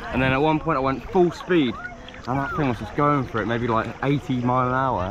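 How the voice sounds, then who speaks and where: The voice moves at a fairly quick pace with ordinary pitch variation, the sound dry with no echo despite noticeable background noise. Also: man. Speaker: vacation vlogger. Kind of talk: casual vlog chat. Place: waterside. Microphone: phone near.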